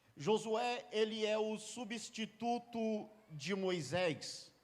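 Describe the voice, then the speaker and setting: This is a man speaking. His pitch is high. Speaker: preacher. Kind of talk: sermon. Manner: impassioned.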